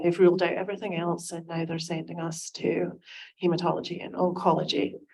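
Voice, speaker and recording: A woman with a Scottish accent speaks in a fairly low pitch, with vocal fry. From Scotland. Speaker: concerned parent at town hall. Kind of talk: public testimony. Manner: hesitant, many fillers.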